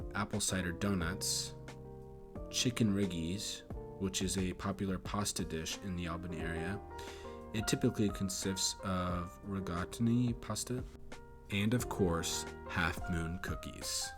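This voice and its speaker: A man speaks at a fairly slow pace in a very deep, low pitch with ordinary pitch variation, music playing in the background. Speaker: geography YouTuber. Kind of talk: documentary-style city narration.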